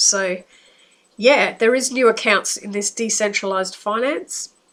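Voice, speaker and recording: A woman with an Australian accent, fairly high-pitched, at a fairly slow pace. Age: 60s. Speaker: psychic. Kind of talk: monologue. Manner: casual, hesitant.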